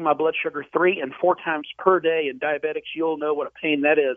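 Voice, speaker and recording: A man with a plain, everyday voice talks at a fairly quick pace, fairly high in pitch with fairly even intonation. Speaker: weight-loss patient. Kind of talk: casual interview.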